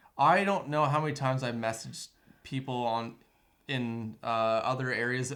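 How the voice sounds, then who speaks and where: A man with a slight Canadian accent. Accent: Canadian accent barely noticeable. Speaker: videographer and business owner. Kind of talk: casual chat.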